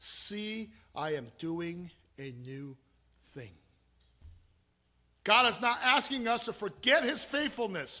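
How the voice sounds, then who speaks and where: Speaking very slowly with long, frequent pauses, a man raises and projects a high-pitched voice with very wide pitch swings, big swings in loudness and a bright, sharp tone, on a very clean recording with a silent background. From Taiwan, then Southern California from age eleven. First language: Chinese (Mandarin). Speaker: pastor. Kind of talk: sermon.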